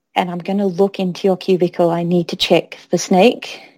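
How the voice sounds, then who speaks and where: A dark, mellow tone in an Australian accent, monotone and flat in intonation, at a moderate pace, on a very clean recording with a silent background. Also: woman. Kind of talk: casual chat.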